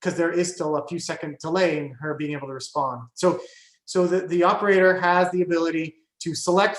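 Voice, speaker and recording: In a room with audible echo, a man with a high voice speaks with fairly even intonation. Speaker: AI researcher. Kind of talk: guest lecture with discussion. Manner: fast; many fillers and restarts.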